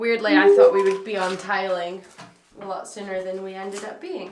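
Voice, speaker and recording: A woman with a British accent speaks amid audible room echo and noticeable background noise. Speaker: vlogger doing DIY renovation. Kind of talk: casual vlog. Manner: animated.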